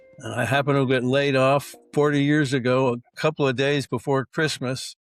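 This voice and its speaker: Over music in the background, a man with a fairly high pitch speaks at a moderate pace in a monotone, flat intonation, the sound dry and close with no echo. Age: 70s. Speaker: insurance broker. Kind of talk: podcast interview.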